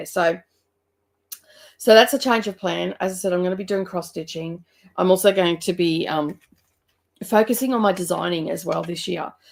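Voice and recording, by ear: Doing a put-on character voice, a woman sounds croaky and raspy, with a medium pitch, ordinary pitch variation, a moderate pace and long, frequent pauses.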